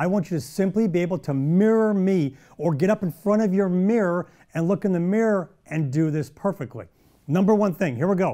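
With an American accent, a man speaks at a fairly quick pace in a high pitch and a dark, mellow tone against a quiet background. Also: ordinary pitch variation. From US Midwest (Belleville, Illinois); Illinois. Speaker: golf instructor and TV show host; golf instructor, TV show host. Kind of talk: golf instruction tutorial. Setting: studio. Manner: animated. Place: studio. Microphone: lapel.

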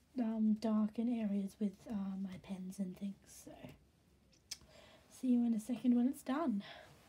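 Somewhat breathy and dark, mellow in tone, a woman speaks at a fairly high pitch with ordinary pitch variation, keeping a fairly slow pace with long, frequent pauses. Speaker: hobby artist. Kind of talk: casual voice-over for drawing video.

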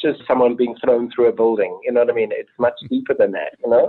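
This man talks at a very fast pace with a South African accent. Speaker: film director. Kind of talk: interview. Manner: animated. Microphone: poor long-distance audio.

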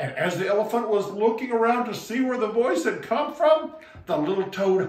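The reading voice sounds unforced. Pitch moves up and down an ordinary amount.

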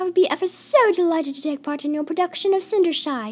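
A woman speaks in a put-on character voice. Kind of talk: fan voice-acting audition. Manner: posh, dramatic, drawn-out vowels.

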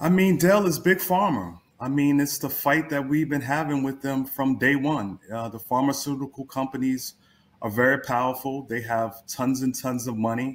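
A man talks in a plain, everyday voice at a medium pitch. His pace is moderate and his pitch variation ordinary. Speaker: political activist; guest politician. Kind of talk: interview. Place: home room.

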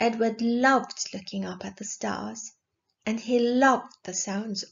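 In a natural voice and with ordinary pitch variation, a text is read aloud while the background stays quiet.

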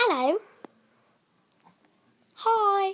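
In a put-on character voice with a British accent, a woman squeaks at an extremely high pitch. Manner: greeting, demonstrating accent.

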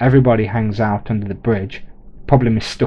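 A natural voice reading aloud

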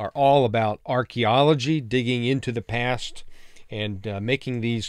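A man talks at a fairly slow pace. The background is quiet, and the sound is dry with no echo. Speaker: bible teacher. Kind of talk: lecture. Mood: warm, welcoming. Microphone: studio mic.

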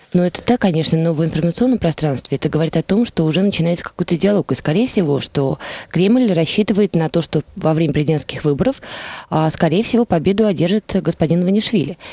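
A woman with a fairly low pitch and a dark, mellow tone, very fast pace, lively intonation and very even loudness, in a dry sound with no echo. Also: quiet background. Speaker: radio guest, analyst. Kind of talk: radio interview. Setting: studio. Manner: formal. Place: studio. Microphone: headset.

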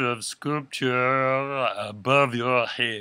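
In a French accent, a man talks at a medium pitch with a bright, sharp tone, captured on a very clean recording with a silent background.

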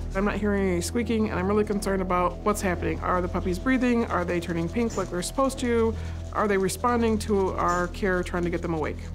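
Clear music plays behind a woman speaking at a very fast pace. Her loudness is very even. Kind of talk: interview answer. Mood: concerned, explaining. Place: studio.

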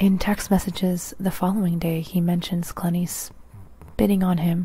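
A woman speaks softly in a monotone, flat intonation, with a dry sound and no echo. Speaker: true crime narrator. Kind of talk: ASMR-style true crime narration. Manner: soft-spoken close-mic ASMR reading. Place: home room. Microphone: handheld.

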